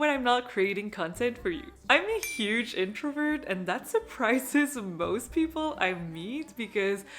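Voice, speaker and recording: In a French-Canadian accent, a woman with a high pitch talks at a fairly slow pace, her pitch swinging very widely. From Quebec, Montreal. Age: 30s. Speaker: fashion vlogger. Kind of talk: casual chat to camera.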